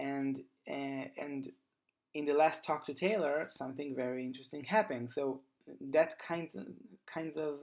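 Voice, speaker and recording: A non-native accent at a moderate pace, with long, frequent pauses. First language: not English. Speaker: gaming youtuber. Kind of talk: casual monologue. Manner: halting, many fillers.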